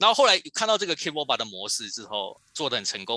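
A man's voice, dry and close with no echo. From Taiwan, Kaohsiung (southern Taiwan). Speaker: toy designer. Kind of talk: interview. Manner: halting, many fillers.

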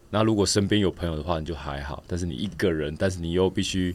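His very deep, low voice shows vocal fry as the man talks at a fairly quick pace with ordinary pitch variation. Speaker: professional triathlete and coach. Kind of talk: casual interview.

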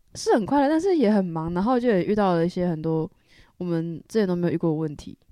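Talking at a very fast pace, this woman has a fairly low pitch. Her tone is dark and mellow. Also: ordinary pitch variation. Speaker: university student, band bandmate. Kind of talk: casual chat.

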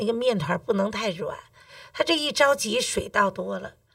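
With a Beijing accent, a woman talks at a fairly slow pace. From Beijing, China. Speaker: cooking teacher. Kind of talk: casual interview chat.

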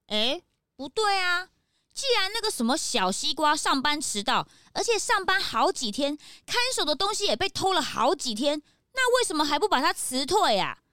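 A woman's put-on character voice, high in pitch, bright and sharp, with big pitch swings at a moderate pace.

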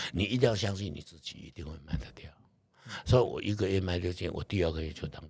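A man speaks at a very fast pace with a very deep, low pitch and ordinary pitch variation. His voice is somewhat breathy, with big swings in loudness. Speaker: real estate investor. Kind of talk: interview.

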